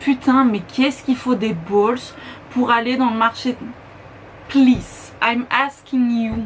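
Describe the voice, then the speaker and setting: Very slow speech with long, frequent pauses, fairly even intonation and noticeable background noise. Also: woman, high pitch for a woman. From Belgium. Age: 20s. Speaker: beauty YouTuber. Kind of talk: casual talk to camera.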